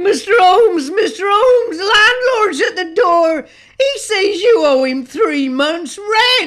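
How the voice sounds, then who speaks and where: A woman puts on a character voice pitched extremely high, talking at a fairly slow pace with very wide swings in pitch. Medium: audio drama. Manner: chatty, muddled.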